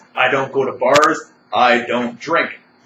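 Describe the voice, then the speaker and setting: You can hear a man talking. There is noticeable noise in the background too. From Canada. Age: 40s. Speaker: vlogger. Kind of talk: personal monologue. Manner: rambling, agitated.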